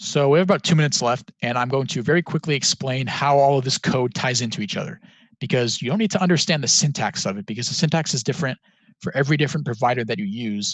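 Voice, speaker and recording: Very fast and somewhat breathy, a man speaks with lively intonation in a dry, close sound with no echo. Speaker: student hackathon workshop instructor. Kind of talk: tutorial. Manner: casual, filler words.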